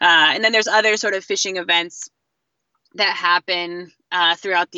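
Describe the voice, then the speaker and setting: A woman speaks in a fairly low pitch with an American accent and a plain, everyday voice. Her intonation stays fairly even. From US Northeast, southeastern Connecticut. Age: young. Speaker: commercial fisherman and community organizer. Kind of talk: casual interview. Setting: phone call.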